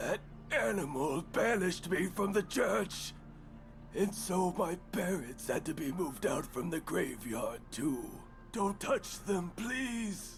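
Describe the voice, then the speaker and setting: A put-on character voice from a man, high in pitch and fairly slow in pace, with clear background noise. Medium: video game. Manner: calm, quiet.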